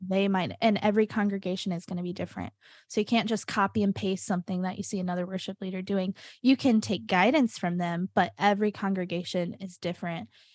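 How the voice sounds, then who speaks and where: A woman speaks very fast at a medium pitch, somewhat breathy, with ordinary pitch variation. The recording is very clean with a silent background and a dry, close sound with no echo. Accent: American. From US South, Nashville, Tennessee. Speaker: church worship leader and singer. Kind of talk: casual chat.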